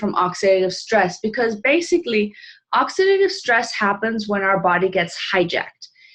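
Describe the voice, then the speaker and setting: A plain, everyday voice from a woman, moderate in pace and fairly high in pitch. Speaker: health product presenter. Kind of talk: informal presentation on a live call.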